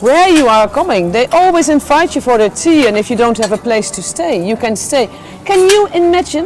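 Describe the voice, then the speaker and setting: Noticeable background noise surrounds a woman with a high voice. She speaks at a moderate pace with very wide pitch swings. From Netherlands. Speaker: journalist. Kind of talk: casual chat. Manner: animated.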